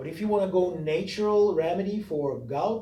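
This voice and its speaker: A man with a non-native accent is heard with audible room echo. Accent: foreign. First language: not English. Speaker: massage therapist. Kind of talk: tutorial. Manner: casual, conversational.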